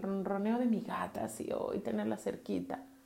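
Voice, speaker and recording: In a calm tone and at a moderate pace, a woman speaks amid noticeable background noise and audible room echo. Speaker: podcast host and therapist. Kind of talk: solo podcast talk. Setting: home bathroom.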